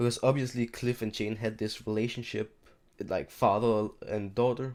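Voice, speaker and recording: Quiet and flat, a man speaks in a monotone. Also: medium pitch for a man, moderate pace. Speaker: YouTube TV show reviewer. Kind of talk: casual video review. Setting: home recording at night, seated in chair. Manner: quiet, keeping voice down at night; halting, repeats and restarts words.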